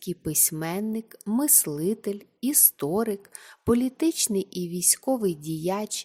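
The speaker uses a natural reading voice. Their intonation rises and falls in a lively way.

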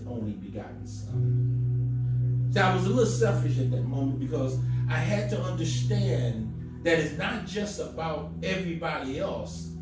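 Clear music plays in the background as a man talks at a moderate pace, with audible room echo. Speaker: preacher. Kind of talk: sermon. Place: church.

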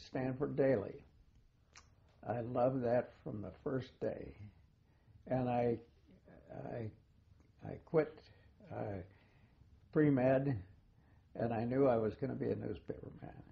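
A man with an American accent speaks at a fairly slow pace in a medium-pitched, somewhat breathy voice with ordinary pitch variation and long, frequent pauses. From US West Coast (Portland, Oregon). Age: 80s+. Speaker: retired journalist. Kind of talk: oral history interview. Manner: halting, with many fillers and repeats.

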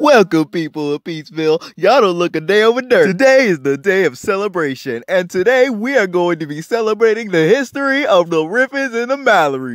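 A man puts on a character voice, pitched high and drawling at a fairly quick pace. His pitch swings very widely. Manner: hammy, folksy drawl.

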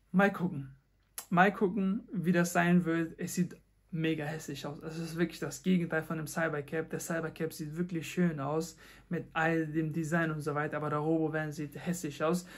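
A man talks in a monotone with flat intonation. His pitch is fairly high and his pace moderate. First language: Dari or Pashto (speaking German). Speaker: tech content creator, podcast host. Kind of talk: solo podcast monologue. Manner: halting, many fillers.

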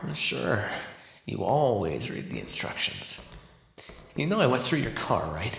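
A man uses a put-on character voice at a medium pitch, with a fairly bright tone. He goes at a fairly slow pace, with very wide pitch swings and vocal fry.

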